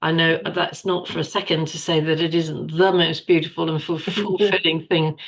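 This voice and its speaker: A woman's normal speaking voice, fairly low-pitched, at a moderate pace with fairly even intonation. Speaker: podcast co-host. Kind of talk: podcast host conversation.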